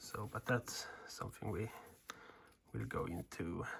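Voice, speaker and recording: A man with a Swedish accent speaks at a fairly slow pace. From Sweden. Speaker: woodcarving instructor. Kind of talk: tutorial. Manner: casual, hesitant in wording.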